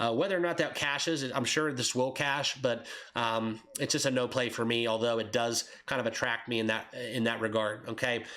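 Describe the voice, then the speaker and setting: With clear noise in the background, a man keeps an average pace and a normal rise and fall in pitch. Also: medium pitch for a man, very even loudness. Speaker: sports betting YouTuber. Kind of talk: casual sports betting picks monologue. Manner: hesitant, many fillers (uh, um).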